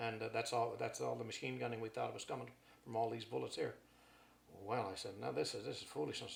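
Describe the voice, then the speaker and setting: A man speaks very fast while noticeable background noise carries on behind him. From Canada. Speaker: war veteran. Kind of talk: testimony. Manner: animated.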